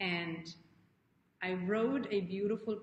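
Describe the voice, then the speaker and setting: A woman speaks at a very slow pace in a fairly low voice. She sounds somewhat breathy, with ordinary pitch variation. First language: not English. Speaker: life coach. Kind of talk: live stream talk to viewers. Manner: animated; halting.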